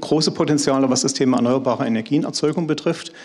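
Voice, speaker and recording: This man has a fairly high-pitched voice. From eastern Germany. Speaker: company executive. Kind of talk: panel discussion. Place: hall. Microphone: handheld.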